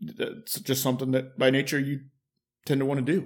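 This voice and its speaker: With an unremarkable speaking voice, a man in an American accent speaks at a medium pitch and moderate pace. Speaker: fire captain. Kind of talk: interview.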